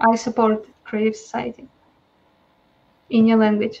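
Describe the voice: At a moderate pace, a woman talks with a fairly high pitch.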